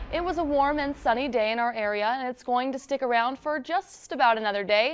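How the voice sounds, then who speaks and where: A woman with an American accent talks at a fairly quick pace in a high pitch, with ordinary pitch variation. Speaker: television news anchor and reporter. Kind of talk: local TV news anchor delivery. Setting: newsroom anchor desk, scripted read.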